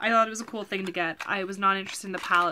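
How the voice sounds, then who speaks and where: Light background noise runs under a woman's bright, sharp tone. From Canada. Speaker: lifestyle vlogger. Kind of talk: haul video, casual talk to camera. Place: home room. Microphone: webcam.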